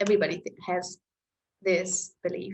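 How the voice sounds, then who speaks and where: Vocal fry runs through a woman's speech in a German accent. She keeps a moderate pace. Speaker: astrology-style chart reader. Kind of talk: reading a personal chart to camera.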